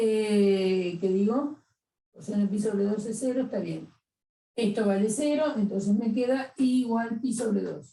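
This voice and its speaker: A woman talks at a fairly slow pace in a fairly high, somewhat breathy voice with a dark, mellow tone. Her pitch moves with ordinary variation. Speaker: math teacher. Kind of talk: lecture.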